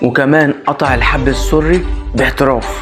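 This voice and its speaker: A man's voice over noticeable background noise. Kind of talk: horror story narration.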